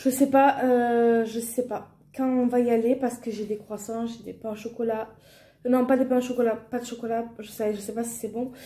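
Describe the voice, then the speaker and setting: A woman in a southern French accent speaks at a moderate pace, her high pitch carrying a dark, mellow tone and fairly even intonation. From southern France. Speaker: family vlogger. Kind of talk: casual vlog talk. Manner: hesitant, many fillers.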